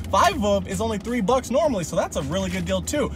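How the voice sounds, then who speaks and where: Very fast speech with a dry sound with no echo and music in the background. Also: man. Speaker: food reviewer. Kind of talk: casual vlog chat. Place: car. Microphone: phone near.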